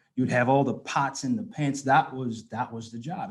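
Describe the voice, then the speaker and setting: A man's voice sits at a fairly high pitch. It sounds somewhat breathy. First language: not English. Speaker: guest speaker at anniversary event. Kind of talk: personal testimony speech.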